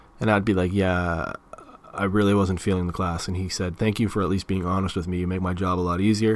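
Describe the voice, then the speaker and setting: Talking very fast in an Ontario accent, a man uses a very deep, low pitch. His intonation is monotone and flat, over noticeable background noise. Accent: Canadian (Ontario). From Canada, Toronto area. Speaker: podcast host. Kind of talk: casual monologue.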